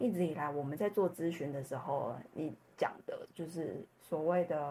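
This woman talks at a moderate pace with a fairly low pitch. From Taiwan. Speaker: customer success professional. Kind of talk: personal story interview. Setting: remote recording.

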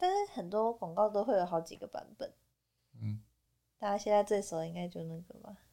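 Speaking at a fairly quick pace, a woman leaves long, frequent pauses and shows big swings in loudness. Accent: Taiwanese. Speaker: podcast co-host. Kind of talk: casual chat.

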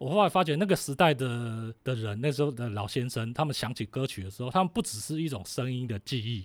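Over a silent background in a very clean recording, a man talks very fast with lively intonation at medium pitch, the sound dry and close with no echo. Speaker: writer and music historian. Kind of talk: interview about music history.

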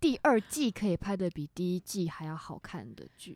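Recorded very cleanly against a silent background, a woman's voice makes very wide pitch swings, the sound dry and close with no echo. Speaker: podcast co-host. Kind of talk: casual chat.

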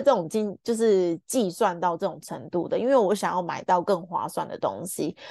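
Against a quiet background, a woman with a dark, mellow tone speaks at a moderate pace, the sound dry and close with no echo. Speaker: podcast host, book club reader. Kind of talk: book discussion monologue. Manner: warm, chatty.

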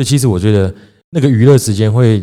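On a very clean recording with a silent background, a man with a Taiwanese accent talks at a very fast pace in a dark, mellow tone. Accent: Taiwanese Mandarin. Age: 30s. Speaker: podcast host, small business owner. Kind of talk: casual chat. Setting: home-built studio.

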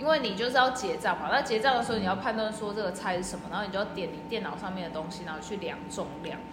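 Over music in the background, a woman talks at a very fast pace and a medium pitch, with ordinary pitch variation. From Taiwan. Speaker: working holiday traveler, social worker. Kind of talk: casual chat. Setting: outdoors.

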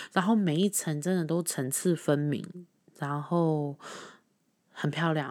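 On a very clean recording with a silent background, an unremarkable speaking voice keeps a moderate pace. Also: woman. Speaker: podcast host. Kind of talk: casual monologue.

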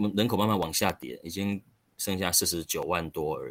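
Ordinary pitch variation from a man speaking at a moderate pace. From Taiwan, rural Chiayi County. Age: 40s. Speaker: local council candidate. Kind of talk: interview.

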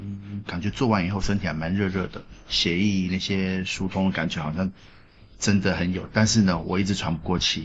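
A man with a very deep, low pitch and monotone, flat delivery. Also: moderate pace. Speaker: podcast co-host. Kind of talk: casual chat. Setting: café in a second-hand bookstore.

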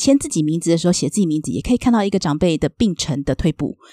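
A woman speaks at a very fast pace with lively intonation and a dark, mellow tone. The sound is dry and close with no echo, on a very clean recording with a silent background. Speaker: social worker. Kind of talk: interview.

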